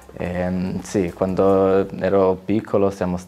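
A man with a Slovenian accent speaks in a very deep, low pitch. His tone is dark and mellow, and his intonation monotone and flat. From Slovenia, near Gorizia. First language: Slovene (speaking Italian). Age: 20s. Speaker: footballer; interviewee. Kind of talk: interview. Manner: halting. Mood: calm, friendly, reflective. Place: studio. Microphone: lapel.

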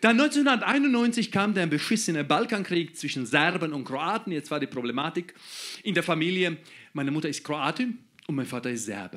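With a Croatian accent, a man speaks at a high pitch and a moderate pace. His pitch swings very widely over a quiet background. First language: Croatian (speaking German). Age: 30s. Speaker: comedian. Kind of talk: stand-up. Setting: stage with audience. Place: stage. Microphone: handheld.

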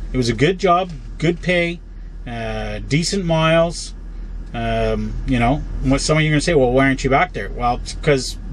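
Light background noise sits under a man speaking at a moderate pace. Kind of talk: casual vlog chat. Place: car. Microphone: phone near.

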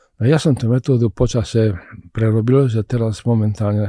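In a Czech accent, a man with a dark, mellow tone and fairly low pitch talks at a moderate pace with fairly even intonation, the sound dry with no echo and the background quiet. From Czech-born, raised in Košice, eastern Slovakia; Slovakia. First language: Czech (speaking Slovak). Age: 80s+. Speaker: scientist and physician; guest. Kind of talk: interview. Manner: halting, repetitive. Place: studio. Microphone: studio mic.

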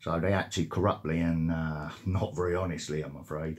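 A somewhat breathy male voice against a quiet background. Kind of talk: phone complaint conversation. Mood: aggrieved, hesitant complaint.

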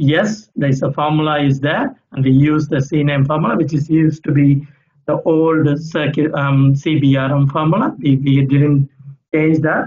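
A man with a fairly high voice speaks at a fairly slow pace, somewhat breathy, with fairly even intonation and very even loudness. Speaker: utility engineer. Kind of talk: audience question. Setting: video call.

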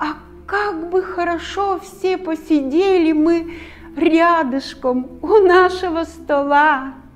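Music plays behind a woman speaking at a very slow pace. Her pitch is extremely high. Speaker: stage actress. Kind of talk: poetry reading. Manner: emotional, heartfelt.

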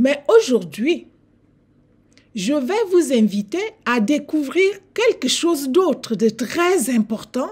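In a Cameroonian accent, a woman with a high pitch speaks at a very slow pace, with very wide pitch swings and long, frequent pauses. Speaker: lecturer and channel host on African history and civilizations. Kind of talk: lecture. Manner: formal; didactic. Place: home room. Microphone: webcam.

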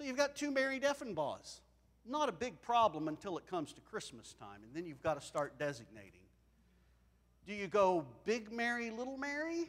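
A man talks at a moderate pace, his loudness swinging widely. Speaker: preacher. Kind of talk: sermon. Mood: warm, lightly humorous. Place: church. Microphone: lapel.

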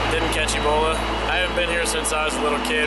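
A man at a very fast pace over background music. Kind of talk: casual vlog chat. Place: station.

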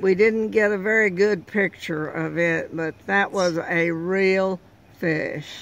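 A woman speaks at a very slow pace with fairly even intonation. The sound is dry, with no echo. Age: 80s+. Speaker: trout angler. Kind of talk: interview answer. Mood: pleasant, proud. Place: car. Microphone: phone near.

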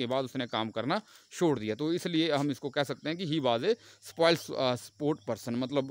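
Moderate pace and ordinary pitch variation from a man, with a quiet background. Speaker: teacher. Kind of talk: lecture.

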